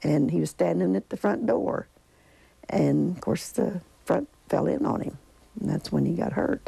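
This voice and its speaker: A woman with a southern Indiana accent talks at a moderate pace, leaving long, frequent pauses, in a dry sound with no echo. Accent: Southern Indiana rural American. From Griffin, Indiana. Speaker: tornado survivor. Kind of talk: interview answer. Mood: somber recollection. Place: home room. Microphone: lapel.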